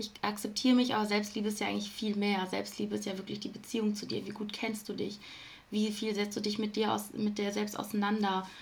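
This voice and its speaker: Audible room echo surrounds a woman speaking at a fairly quick pace and medium pitch. Her intonation is flat and monotone. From Ruhr area, Germany. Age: 20s. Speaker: self-love coach. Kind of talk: podcast interview.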